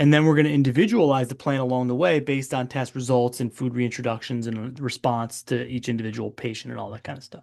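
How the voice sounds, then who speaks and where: A very fast man's voice at a medium pitch, with fairly even intonation, big swings in loudness and a quiet background. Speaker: functional medicine doctor. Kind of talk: webinar presentation. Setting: live webinar. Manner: casual, conversational.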